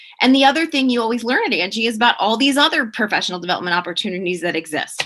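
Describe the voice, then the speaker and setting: Bright and sharp in tone, the voice races along at a very fast pace with lively intonation. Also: woman. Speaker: professor. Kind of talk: panel presentation.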